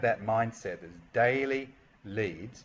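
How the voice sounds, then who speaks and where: A man with an Australian accent talks at a moderate pace and medium pitch, his pitch variation ordinary. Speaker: online marketing coach. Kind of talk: tutorial. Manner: hesitant, with many fillers.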